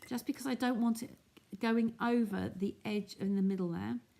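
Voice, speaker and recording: Her voice is dark, mellow and somewhat breathy, at a medium pitch. The woman speaks at a moderate pace. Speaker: craft demonstrator. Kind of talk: live craft tutorial. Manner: casual, chatty.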